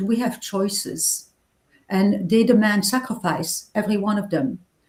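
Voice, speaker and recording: A woman speaks at a moderate pace and medium pitch in a somewhat breathy voice. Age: 60s. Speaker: novelist. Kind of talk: interview.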